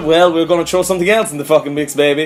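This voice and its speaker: A man with a fairly high voice talks while music plays behind him. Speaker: gamer, musician. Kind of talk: casual gameplay commentary.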